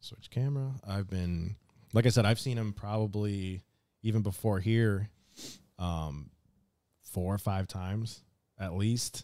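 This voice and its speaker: A man's dark, mellow voice, fairly low in pitch, at a fairly slow pace with ordinary pitch variation and long, frequent pauses, on a very clean recording with a silent background. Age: 20s. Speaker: podcast host. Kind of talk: casual chat.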